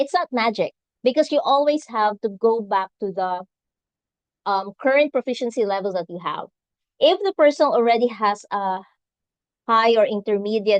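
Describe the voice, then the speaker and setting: A woman with a Filipino accent talks at a moderate pace with lively intonation, a fairly high pitch and long, frequent pauses. The sound is dry and close with no echo, against a quiet background. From Philippines, Visayas. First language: Visayan. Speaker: nurse and English exam tutor. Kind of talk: webinar talk. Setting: live event streamed on video call.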